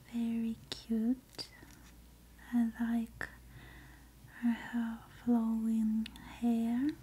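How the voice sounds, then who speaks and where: A soft-spoken woman talks at a very slow pace with long, frequent pauses. Light background noise runs underneath. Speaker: ASMR creator. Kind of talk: soft-spoken ASMR unboxing. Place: home room. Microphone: earbuds.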